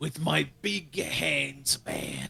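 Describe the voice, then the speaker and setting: A man performs a put-on character voice. His delivery is raspy. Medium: fan dub.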